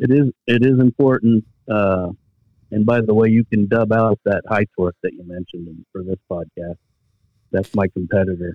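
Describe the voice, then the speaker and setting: With big swings in loudness and ordinary pitch variation, a plain, everyday voice speaks at a moderate pace. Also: man, fairly low pitch for a man. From Pennsylvania, Bethlehem. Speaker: tool sales representative. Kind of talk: casual interview.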